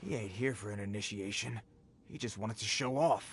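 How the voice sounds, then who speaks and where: A man's raspy, put-on character voice, fairly low in pitch, with ordinary pitch variation and a fairly quick pace. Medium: video game. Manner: nervous, eager to please.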